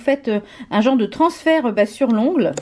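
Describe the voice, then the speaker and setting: A high-pitched woman speaking at a moderate pace, with ordinary pitch variation. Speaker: nail art and beauty YouTuber. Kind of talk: show-and-tell tutorial. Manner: hesitant, many fillers.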